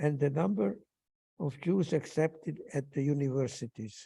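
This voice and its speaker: Fairly slow and dark, mellow in tone, the man's voice sits at a fairly high pitch. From Hungary. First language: Hungarian. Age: 90s. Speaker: Holocaust survivor. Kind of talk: testimony. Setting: synagogue ceremony.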